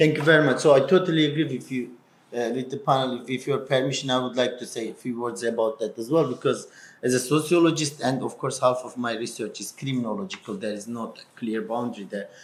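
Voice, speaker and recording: A man talks very fast in a strong Kurdish accent at a medium pitch. His pitch varies in an ordinary way, while his loudness swings widely. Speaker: university lecturer and sociologist. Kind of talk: panel discussion.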